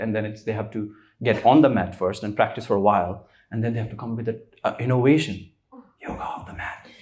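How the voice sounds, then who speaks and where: A fairly quick, medium-pitched man with an Indian accent on a very clean recording with a silent background. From India, Rishikesh. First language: Hindi. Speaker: spiritual teacher. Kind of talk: casual interview conversation.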